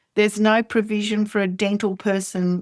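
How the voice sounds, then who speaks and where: A woman with an Australian accent and monotone, flat intonation, in a dry, close sound with no echo on a very clean recording with a silent background. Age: 60s. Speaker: oral health educator. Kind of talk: interview.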